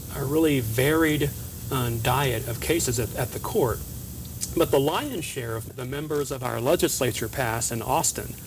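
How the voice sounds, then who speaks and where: Noticeable background noise sits under speech in an American accent. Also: man, medium pitch for a man, ordinary pitch variation, moderate pace. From Northeast Texas, Kaufman County. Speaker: state supreme court justice. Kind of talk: TV interview. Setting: TV studio.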